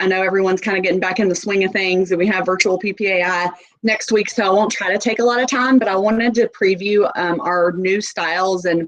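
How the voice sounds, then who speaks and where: A woman in a strong Southern US accent, medium in pitch, with fairly even intonation. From US South, Nashville. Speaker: sales representative. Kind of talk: sales presentation. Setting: video call.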